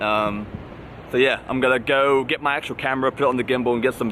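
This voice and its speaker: Talking very fast with fairly even intonation, a man holds a medium pitch while noticeable background noise runs underneath. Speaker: car enthusiast vlogger. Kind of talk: casual vlog. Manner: casual, relaxed.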